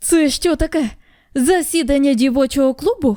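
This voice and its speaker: Shouting in a gruff voice at a high pitch, a woman keeps a moderate pace. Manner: gruff, barking shout.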